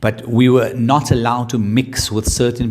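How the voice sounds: A man with a medium pitch talks at a moderate pace.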